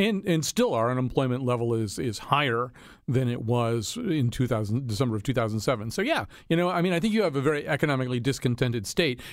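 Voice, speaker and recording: With a plain, everyday voice, a man talks fairly quickly at a medium pitch with lively intonation. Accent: American. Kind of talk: panel discussion on politics.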